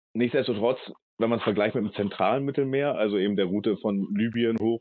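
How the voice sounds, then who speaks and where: A normal speaking voice from a man, medium in pitch, at a fairly quick pace with ordinary pitch variation. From Hamburg, northern Germany. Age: 40s. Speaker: ship captain and refugee aid activist. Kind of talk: interview.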